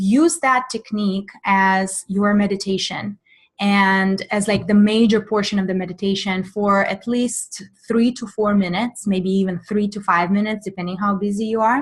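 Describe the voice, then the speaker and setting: A woman speaks with a Russian accent and sounds somewhat breathy. Her intonation is fairly even, and the background is quiet. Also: medium pitch for a woman, moderate pace. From Russian Far East. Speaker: mindfulness coach. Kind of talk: webinar Q&A. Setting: online webinar.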